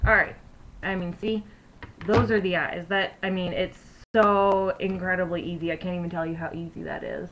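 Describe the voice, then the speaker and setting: Soft-spoken and at a moderate pace, a woman talks with a medium pitch and fairly even intonation. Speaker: beauty vlogger. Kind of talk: tutorial. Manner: casual, filler-heavy.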